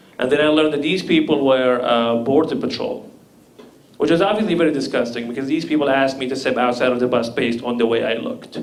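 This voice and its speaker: Amid noticeable background noise and audible room echo, a man speaks at a very fast pace with a medium pitch. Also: ordinary pitch variation. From Libya. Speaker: comedian. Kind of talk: stand-up.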